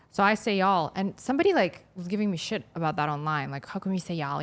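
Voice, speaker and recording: Noticeable background noise sits behind a woman talking at a very fast pace. Her pitch variation is ordinary. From Moldova. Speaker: podcast host. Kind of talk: casual chat.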